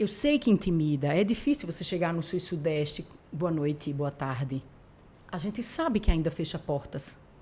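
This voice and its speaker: A woman's somewhat breathy voice, fairly low in pitch, at a moderate pace. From Paraíba, Brazilian Northeast. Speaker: TV journalist and news anchor. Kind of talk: casual interview chat.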